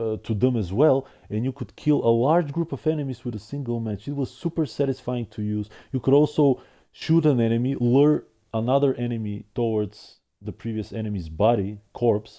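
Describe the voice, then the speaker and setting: Against a quiet background, a man with a non-native accent speaks at a moderate pace. His tone is dark and mellow, with ordinary pitch variation. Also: medium pitch for a man. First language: not English. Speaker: gaming streamer. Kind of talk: casual monologue review. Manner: halting with repetitions.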